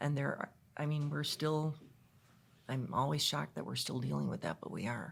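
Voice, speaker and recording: A woman with an American accent talks at a moderate pace, leaving long, frequent pauses. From Chicago, US Midwest. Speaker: guest speaker on women's leadership. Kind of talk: podcast interview.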